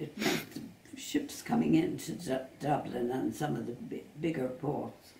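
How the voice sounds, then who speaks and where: A woman speaking at a fairly slow pace, with audible room echo and light background noise. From Ireland, Westport, County Mayo; County Mayo, Ireland. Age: 80s+. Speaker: retired tour guide. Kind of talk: interview; interview answer. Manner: halting. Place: home room. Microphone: camera far.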